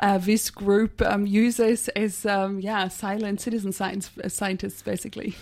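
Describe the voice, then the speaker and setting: A woman speaks at a medium pitch. Hers is an unremarkable speaking voice. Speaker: radio science show host. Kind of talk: radio interview. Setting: radio studio.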